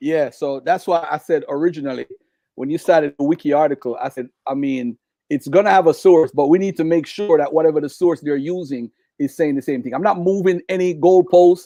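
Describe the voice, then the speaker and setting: A man's fairly high voice with a dark, mellow tone and ordinary pitch variation, fairly quick, in a dry, close sound with no echo and a quiet background. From Jamaica. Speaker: debate guest. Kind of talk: heated debate. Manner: animated.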